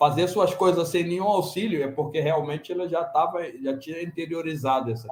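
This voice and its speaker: A man speaks at a fairly quick pace in a high voice, with ordinary pitch variation and hardly any pauses. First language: non-Portuguese (Senegalese languages/French) (speaking Portuguese). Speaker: conference panelist, immigrant parent. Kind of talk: panel discussion.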